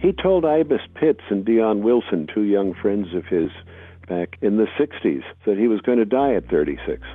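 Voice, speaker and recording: This man's voice is fairly low in pitch and moves at a fairly slow pace. His pitch swings very widely. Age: 70s. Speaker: music writer and archivist. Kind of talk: interview narration about history.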